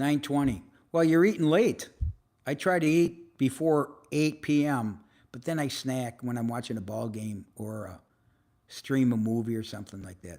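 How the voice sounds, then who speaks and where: With a dark, mellow tone, a man of medium pitch speaks at a moderate pace, his intonation lively and his loudness swinging widely. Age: 70s. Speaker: motivational live-stream host and mentor. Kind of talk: casual live-stream chat reading viewer comments. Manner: conversational, with fillers and hesitations.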